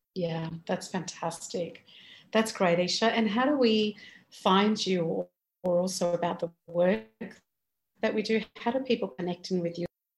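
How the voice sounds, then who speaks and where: Her voice somewhat breathy, a woman talks at a fairly slow pace with ordinary pitch variation. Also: medium pitch for a woman. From Indian heritage. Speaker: podcast host. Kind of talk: interview.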